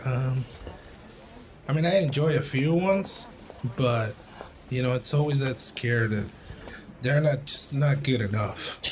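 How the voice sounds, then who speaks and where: Long, frequent pauses break up a man's fairly slow speech at a medium pitch with ordinary pitch variation, over noticeable background noise. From Tijuana, Mexico. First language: Spanish. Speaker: podcast host. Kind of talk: casual chat. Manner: halting.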